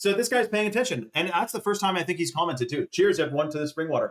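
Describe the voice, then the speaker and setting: The speaker is a man. He moves along at a fairly quick clip. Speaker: livestreamer promoting supplements. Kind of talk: live stream sales pitch. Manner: fast; animated.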